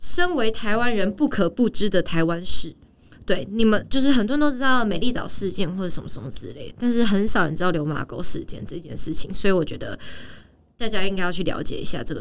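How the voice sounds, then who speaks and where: Her voice is medium-pitched and very fast, with lively intonation and big swings in loudness. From Taiwan. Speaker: actress and professional dancer. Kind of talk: casual chat. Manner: animated.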